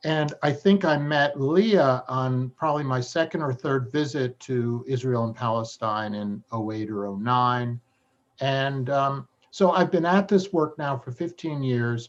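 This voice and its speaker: A man at a medium pitch, with ordinary pitch variation and a fairly slow pace. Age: 60s. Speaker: journalist and blogger. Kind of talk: interview. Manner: halting.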